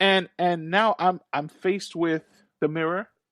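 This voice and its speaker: A man with a high-pitched voice speaks over a quiet background. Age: 30s. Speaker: podcast host. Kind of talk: casual interview chat.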